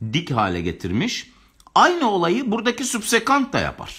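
A man talks at a moderate pace, his pitch swinging very widely, with a quiet background behind him. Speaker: geography teacher running live exam-prep lessons. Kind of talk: live online lecture; lecture. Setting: home live stream, balcony door near pool music. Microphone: phone near.

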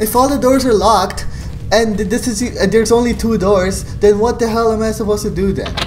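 Under light background noise, a man with a high pitch speaks fairly quickly in a monotone, flat intonation. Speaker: gaming youtuber. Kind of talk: gaming commentary and vlog outro. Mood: frustrated, exasperated. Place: home room.

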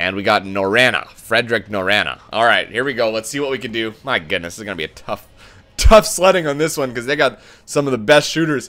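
Bright, sharp and animated in tone, a man speaks at a medium pitch. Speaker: gaming video creator. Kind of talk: live gameplay commentary. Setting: recording while playing online.

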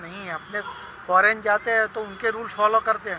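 In a raised, projected voice, a man speaks at a high pitch with monotone, flat intonation, the sound dry with no echo and noticeable background noise present. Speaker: city resident in a street interview. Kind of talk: vox-pop interview. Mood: earnest, opinionated. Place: waterside. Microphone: phone near.

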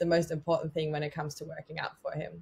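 With an Australian accent, a woman speaks in a somewhat breathy voice. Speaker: personal trainer and podcast host. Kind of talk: podcast interview. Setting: video call. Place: home room. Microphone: webcam.

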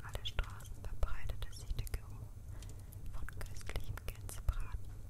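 A woman whispers at a fairly slow pace in a gentle tone, with noticeable background noise behind her. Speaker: ASMR creator. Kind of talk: ASMR fairy tale reading for sleep. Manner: soft-spoken, gentle.

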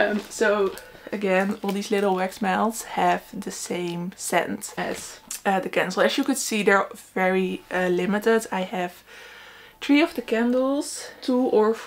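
Fairly slow speech from a woman, her pitch varying in an ordinary way. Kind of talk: casual vlog chat. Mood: excited, laughing. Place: home room. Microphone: camera far.

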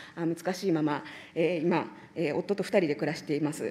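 A dark, mellow tone at a fairly quick pace. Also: woman. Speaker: legislator questioning ministers. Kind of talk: parliamentary committee questioning. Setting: parliamentary committee room. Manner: formal, polite with many fillers. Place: hall. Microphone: podium.

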